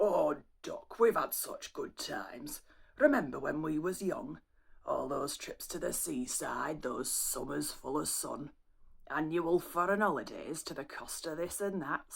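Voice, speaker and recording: A raspy, put-on character voice at a middle pitch moves at a fairly slow pace. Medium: solo performance. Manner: blunt, gruff.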